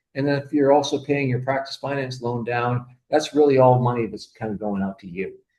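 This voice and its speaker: A man speaks in a somewhat breathy voice. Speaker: accountant and bookkeeper presenting to optometrists. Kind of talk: webinar presentation. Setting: online webinar. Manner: fast; halting, many fillers.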